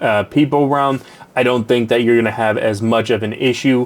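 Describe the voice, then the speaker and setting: A man's medium-pitched voice at a moderate pace with fairly even intonation, amid noticeable background noise. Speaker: tech reviewer. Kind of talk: product review. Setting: home studio with untreated room. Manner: hesitant with many fillers.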